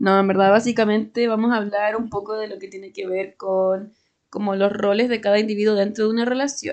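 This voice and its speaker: A woman speaks fairly quickly in a Chilean accent. Her intonation is flat and monotone, while her loudness swings widely. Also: fairly high pitch for a woman. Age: 20s. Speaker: podcast co-host. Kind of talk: casual chat.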